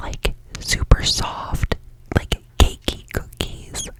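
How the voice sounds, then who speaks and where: A woman whispers over noticeable background noise. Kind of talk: ASMR whisper ramble; casual talk to camera. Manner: whispered.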